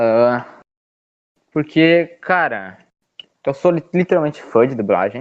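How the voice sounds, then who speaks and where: A man speaks at a very slow pace with long, frequent pauses. His pitch is fairly high. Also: lively intonation. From Rio Grande do Sul, Porto Alegre. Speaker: podcast guest, meme page creator. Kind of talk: casual chat. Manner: animated.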